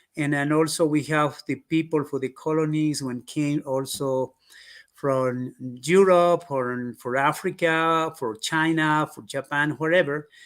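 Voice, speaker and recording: A man in an Andean accent speaks at a fairly slow pace with a fairly high pitch and ordinary pitch variation. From Peru, Quechua community. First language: Quechua. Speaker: history and culture expert. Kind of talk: interview. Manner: halting, many fillers.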